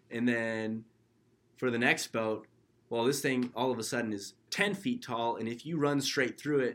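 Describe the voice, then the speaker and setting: Recorded very cleanly against a silent background, a man with an American accent speaks at a moderate pace in a medium pitch, with an unremarkable speaking voice. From California (Kernville). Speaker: startup co-founder, student. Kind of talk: casual chat.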